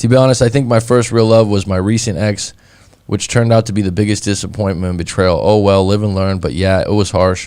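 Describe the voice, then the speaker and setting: Using an ordinary speaking voice, a man talks at a fairly quick pace and a fairly low pitch with fairly even intonation, on a very clean recording with a silent background. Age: 30s. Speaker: breakup coach. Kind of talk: casual chat.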